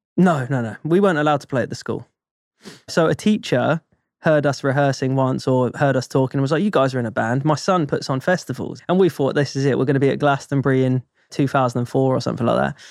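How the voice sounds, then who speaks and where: Speaking at a very fast pace, a man with a southern English accent has a fairly high pitch and ordinary pitch variation. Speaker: drummer. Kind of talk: casual chat. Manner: animated.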